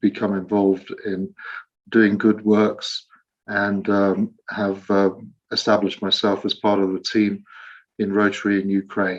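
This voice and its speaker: A fairly low-pitched man with an English accent at a fairly slow pace. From England, Leicester. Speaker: Rotary volunteer in Ukraine. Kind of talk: online meeting presentation.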